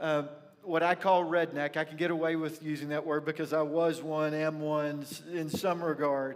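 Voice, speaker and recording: There is noticeable background noise behind a man with an American accent. He speaks at a moderate pace and a fairly high pitch. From rural north Texas (near Pilot Point). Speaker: pastor. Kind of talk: sermon. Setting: church. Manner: animated storytelling.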